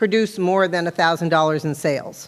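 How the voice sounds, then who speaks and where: A woman with an American accent has a fairly low-pitched voice. Her intonation stays fairly even. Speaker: town board member. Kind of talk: explanation at town meeting. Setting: town meeting hall.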